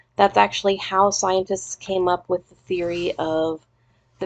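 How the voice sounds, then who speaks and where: The intonation holds fairly even. It is an unremarkable speaking voice. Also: woman, dry, close sound with no echo. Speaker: teacher. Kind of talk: recorded lesson. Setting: recorded lesson video. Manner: casual.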